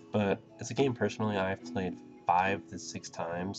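Music plays in the background. A man talks over it with a very deep, low pitch. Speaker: let's play commentator. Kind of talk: casual gameplay commentary. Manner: fast, mumbling.

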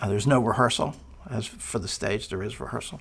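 The pace is moderate as a man talks. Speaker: acting coach. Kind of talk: interview answer. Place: studio. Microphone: lapel.

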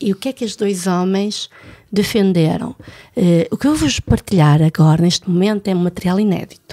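Dry and close with no echo, a woman's voice at a medium pitch carries a dark, mellow tone and ordinary pitch variation at a moderate pace, with long, frequent pauses. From France. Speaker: podcast host. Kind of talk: casual chat.

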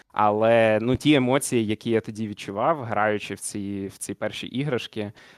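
Dry and close with no echo, a man with an unremarkable speaking voice and a fairly low pitch speaks at a moderate pace with fairly even intonation. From Zakarpattia, western Ukraine (Uzhhorod). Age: 20s. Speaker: communications manager and sim racer. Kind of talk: interview. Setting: online call.

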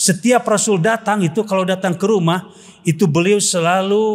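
An animated man at a high pitch against a quiet background. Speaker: Islamic preacher. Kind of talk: humorous sermon. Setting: mosque with congregation. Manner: animated, humorous. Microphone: podium.

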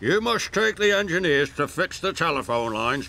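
A man uses a put-on character voice, fairly high with big pitch swings. The tone is bright and sharp, with vocal fry. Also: moderate pace.

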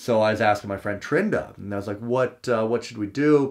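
Speaking with a Western Canadian accent, this voice moves at a fairly quick pace with an animated tone and ordinary pitch variation over a quiet background. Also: man. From Prince George, British Columbia; British Columbia. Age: 30s. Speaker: stand-up comedian; comedian podcaster. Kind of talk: casual solo podcast talk; casual vlog chat. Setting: parents' basement. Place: home room.

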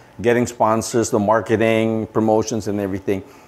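A man's medium-pitched, monotone voice with flat intonation at a fairly quick pace. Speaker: football coach and business executive. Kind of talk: interview. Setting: studio. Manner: halting. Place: studio. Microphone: lapel.

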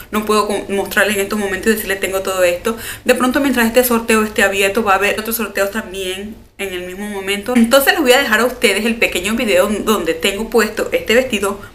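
A woman with a fairly high pitch speaks very fast and with fairly even intonation against light background noise. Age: 30s. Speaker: beauty YouTuber. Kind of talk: casual vlog talk to camera. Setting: at home. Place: home room. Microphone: phone near.

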